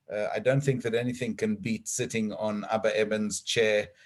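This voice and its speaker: Over a quiet background, a man with a South African accent speaks at a moderate pace. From South Africa, then Israel from just before age 13. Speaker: diplomat. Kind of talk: formal address to congregation. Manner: hesitant, many uh fillers.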